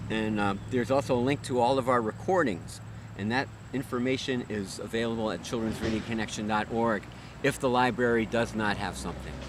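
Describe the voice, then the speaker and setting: A normal speaking voice from a man at medium pitch, fairly quick in pace, with ordinary pitch variation. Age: 60s. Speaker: children's musician and music educator. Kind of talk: interview.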